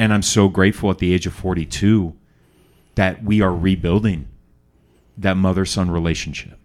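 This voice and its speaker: Very deep and low in pitch, a man talks at a moderate pace with fairly even intonation and very even loudness, leaving long, frequent pauses. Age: 40s. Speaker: podcast host. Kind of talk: interview.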